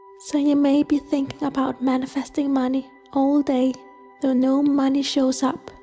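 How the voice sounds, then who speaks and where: High female voice in a flat monotone, with music in the background. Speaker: guided meditation narrator. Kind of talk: casual explanatory talk to camera.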